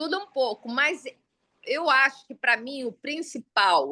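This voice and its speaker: A woman speaks at a high pitch in a raised, projected voice with a bright, sharp tone. Her pace is fairly slow and her intonation lively. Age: 60s. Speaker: artisan, sculptor of religious figures. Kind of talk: casual chat. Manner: animated.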